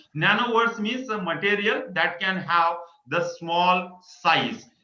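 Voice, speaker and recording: A man speaks at a high pitch. The room echo is audible. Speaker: invited lecturer. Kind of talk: lecture. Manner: halting.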